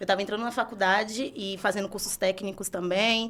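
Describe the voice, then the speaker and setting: With a Bahian accent, a woman speaks at a fairly quick pace. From Brazil, Salvador, Bahia. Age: 20s. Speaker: entrepreneur. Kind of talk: podcast interview.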